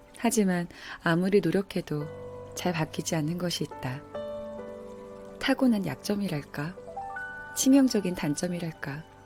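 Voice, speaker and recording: With music in the background, a woman speaks at a fairly low pitch and a fairly slow pace, her lively intonation broken by long, frequent pauses. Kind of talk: audiobook-style essay reading.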